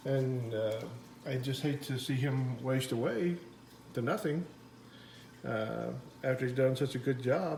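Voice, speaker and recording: Against noticeable background noise and audible room echo, a man speaks fairly slowly at a medium pitch, with ordinary pitch variation and long, frequent pauses. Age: 60s. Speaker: aquarium hobbyist vlogger. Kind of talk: casual video update. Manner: halting with many fillers.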